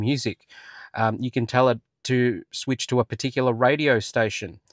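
A man at a moderate pace, in a dry sound with no echo and a quiet background. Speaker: car channel host. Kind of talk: tutorial. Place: car. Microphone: lapel.

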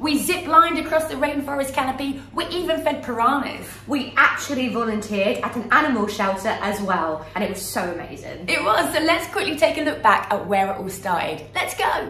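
A woman speaks in a raised, projected voice at a fairly quick pace with hardly any pauses. Light background noise and audible room echo are present. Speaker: travel vlogger. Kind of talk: casual vlog chat. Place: home room. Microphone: phone near.

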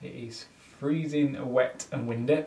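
In a Yorkshire accent, a man speaks at a fairly slow pace with monotone, flat intonation. Audible room echo fills the recording. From Yorkshire, England. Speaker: vlogger and small business owner. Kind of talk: casual vlog narration. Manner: casual, with fillers. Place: home room. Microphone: phone near.

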